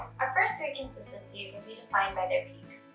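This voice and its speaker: A woman talks at a fairly quick pace with audible room echo and faint music in the background. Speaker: presenter. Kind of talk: tutorial. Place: kitchen.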